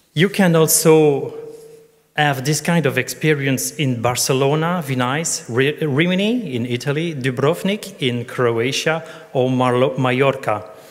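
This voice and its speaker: A man at a fairly slow pace with ordinary pitch variation, amid audible room echo. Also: fairly high pitch for a man. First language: not English. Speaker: tourism conference speaker. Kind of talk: conference presentation. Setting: conference stage with audience. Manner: partly reading from notes.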